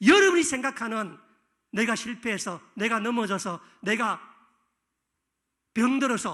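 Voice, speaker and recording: A man projects his voice at an extremely high pitch, animated and bright, sharp in tone. He goes at a fairly slow pace against a quiet background. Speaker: pastor. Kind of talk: sermon.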